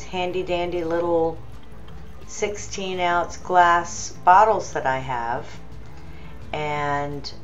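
Faint background music behind a woman at a very slow pace, with ordinary pitch variation. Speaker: home cooking vlogger. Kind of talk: casual tutorial chat. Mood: cheerful, relaxed. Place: kitchen. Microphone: phone near.

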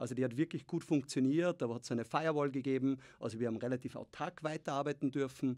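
A man talks at a very fast pace. His intonation stays fairly even against a quiet background. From Austria. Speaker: tech founder and investor; podcast guest. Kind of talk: interview. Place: studio. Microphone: studio mic.

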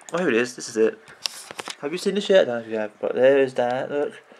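Lively intonation runs through a man's speech. Noticeable background noise can be heard. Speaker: gaming youtuber. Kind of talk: casual commentary. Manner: halting.

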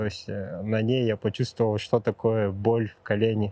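Dark and mellow in tone, a man's medium-pitched voice comes through dry and close with no echo at a moderate pace. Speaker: amateur runner. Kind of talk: interview. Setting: outdoors.

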